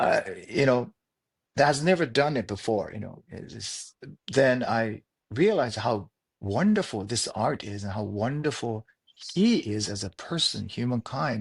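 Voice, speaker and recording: Against a quiet background, a man speaks with lively intonation in a somewhat breathy voice. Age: 60s. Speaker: martial arts instructor. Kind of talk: interview. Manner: halting.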